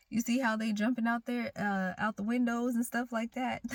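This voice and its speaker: A woman with a fairly high pitch sounds animated and somewhat breathy. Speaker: tarot reader. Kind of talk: tarot reading. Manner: casual, animated.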